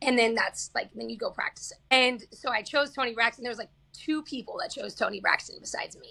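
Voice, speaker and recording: Very fast and animated with hardly any pauses, the voice has an American accent and big swings in loudness. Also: woman. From Kansas. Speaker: singer-songwriter. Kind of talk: casual interview chat.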